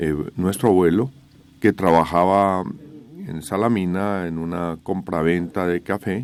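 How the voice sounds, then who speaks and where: Speaking fairly slowly, the man has a very deep, low voice. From Colombia, Manizales (Caldas). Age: 60s. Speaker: company co-founder, civil engineer. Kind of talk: radio interview.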